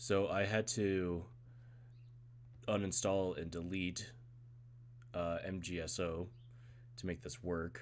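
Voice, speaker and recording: Very slow, with long, frequent pauses, a man's very deep, low voice carries lively intonation. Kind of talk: casual gameplay stream talk.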